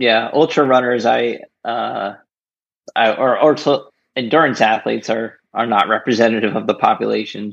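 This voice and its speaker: A man with an American accent, medium pitch, vocal fry and fairly even intonation at a moderate pace. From New Jersey. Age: 30s. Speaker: kidney donor and runner. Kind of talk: casual interview. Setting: remote call.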